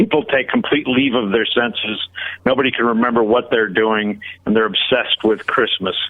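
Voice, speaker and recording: At a moderate pace and medium pitch, a man with an American accent keeps fairly even intonation and very even loudness. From northeastern Pennsylvania, near Scranton. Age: 60s. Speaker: singer-songwriter and guitarist. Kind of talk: interview. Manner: halting, many fillers.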